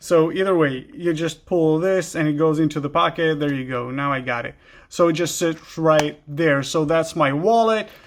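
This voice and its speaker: Hardly pausing, a man with an Israeli accent speaks at a moderate pace with a fairly high pitch and ordinary pitch variation. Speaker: gear YouTuber. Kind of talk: product show-and-tell. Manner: halting, many fillers.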